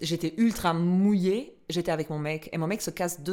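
An ordinary speaking voice from a woman, moderate in pace and ordinary in pitch variation. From Albania. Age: 30s. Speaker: podcast host. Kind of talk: casual chat. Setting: studio.

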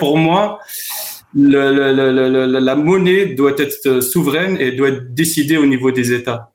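A man speaks very slowly at a fairly high pitch, with ordinary pitch variation and very even loudness. Room echo is audible. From France. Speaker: former trader and consultant. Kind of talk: remote discussion interview.

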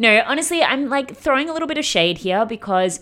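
A woman's animated, playful tone with very wide pitch swings. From Australia. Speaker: podcast host. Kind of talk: casual monologue.

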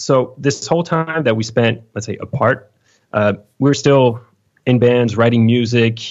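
At a fairly slow pace, a man with a French accent speaks at medium pitch. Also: fairly even intonation. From France, Lyon. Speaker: metal guitarist. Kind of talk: interview. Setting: home studio. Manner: halting.

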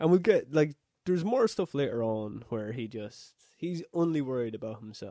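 Heard on a very clean recording with a silent background, a man with an Irish accent has a dark, mellow tone and a fairly high pitch. His intonation is lively and his pace moderate, with a dry, close sound and no echo. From Ireland. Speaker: podcast co-host. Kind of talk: casual chat.

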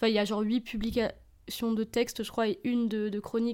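A woman's fairly quick, fairly high voice with a dark, mellow tone, on a very clean recording with a silent background. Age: 20s. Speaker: poet. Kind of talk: casual chat.

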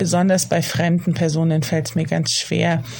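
At a moderate pace, the talking comes through noticeable background noise. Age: 30s. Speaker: author. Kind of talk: recorded voice message.

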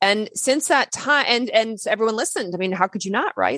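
An ordinary speaking voice with an American accent, lively intonation, and a dry, close sound with no echo over a quiet background. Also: woman. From US South. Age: 40s. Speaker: naturopathic doctor. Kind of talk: interview.

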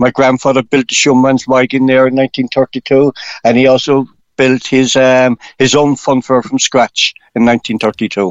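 A man's monotone, flat delivery in a Cork accent, medium in pitch and at a fairly slow pace. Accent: Irish (Cork). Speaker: funfair operator. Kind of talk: radio phone-in interview.

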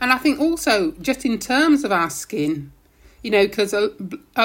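In a very clean recording with a silent background, a woman with a British accent speaks at a moderate pace with very wide pitch swings. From UK, Caribbean family. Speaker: university lecturer in public health. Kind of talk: podcast interview.

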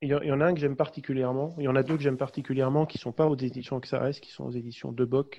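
A man's very fast, monotone delivery, flat in intonation, with hardly any pauses. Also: medium pitch for a man. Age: 40s. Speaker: safety consultant and small-town mayor. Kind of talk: interview. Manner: halting, many repetitions and hesitations.

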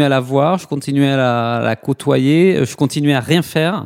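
A man speaks with a fairly high pitch at a moderate pace. His intonation stays fairly even. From southwest France, Toulouse. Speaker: nonprofit co-founder. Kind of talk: interview. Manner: hesitant, many fillers.

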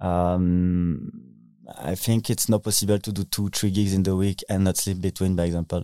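In a French accent, a man speaks at a moderate pace with a very deep, low pitch and a dark, mellow tone, his intonation monotone and flat. The sound is dry and close with no echo, on a very clean recording with a silent background. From France (Paris). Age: 20s. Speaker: DJ and techno producer. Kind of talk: interview. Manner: halting.

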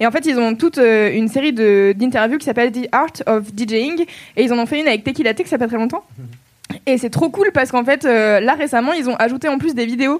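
With a slight southern French accent, a woman speaks at a high pitch and fairly quick pace. She leaves hardly any pauses, and her pitch variation is ordinary. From southern France. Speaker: podcast host. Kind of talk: live podcast recording with audience. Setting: stage with audience.

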